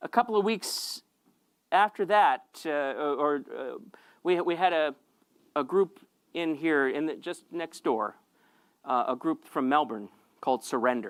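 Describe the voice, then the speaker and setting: With an American accent, a man speaks at a fairly slow pace and a fairly high pitch, using lively intonation and long, frequent pauses. The sound is dry and close with no echo, in a very clean recording with a silent background. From United States. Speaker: pastor. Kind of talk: sermon. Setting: church. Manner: halting, many repetitions.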